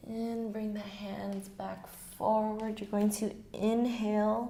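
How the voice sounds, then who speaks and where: With audible room echo, a woman with a somewhat breathy, dark, mellow, medium-pitched voice speaks at a very slow pace. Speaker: yoga teacher. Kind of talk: guided yoga class instruction. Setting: garage at home.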